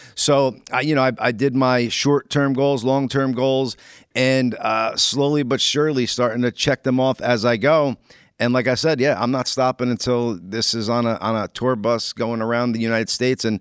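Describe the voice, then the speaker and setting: A man with a plain, everyday voice talks at a fairly quick pace and a medium pitch. The recording is very clean with a silent background, the sound dry and close with no echo. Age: 40s. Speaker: comedian and podcaster. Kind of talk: casual chat.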